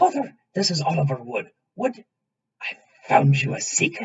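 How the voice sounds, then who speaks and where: A man in a put-on character voice speaks at a moderate pace, his high pitch swinging very widely. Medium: read story. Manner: crisp, clipped.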